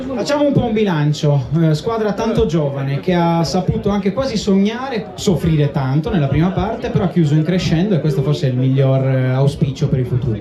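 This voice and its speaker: With noticeable background noise and audible room echo, a man with a high pitch keeps a very even loudness and lively intonation. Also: fairly quick pace, hardly any pauses. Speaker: awards ceremony presenter. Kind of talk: live event presenting. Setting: stage with audience.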